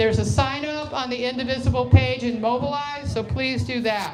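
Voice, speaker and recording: A woman with an American accent talks at a fairly slow pace. The room echo is audible and there is noticeable background noise. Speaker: activist group organizer. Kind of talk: town hall opening remarks. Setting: public meeting with audience. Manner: animated.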